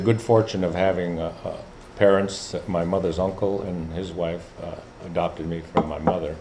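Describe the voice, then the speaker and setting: Fairly even intonation comes through amid noticeable background noise and audible room echo. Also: man. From Alaska, Kotzebue area (Inupiat). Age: 70s. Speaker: Alaska Native leader and professor. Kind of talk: talk to students. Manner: halting, many fillers.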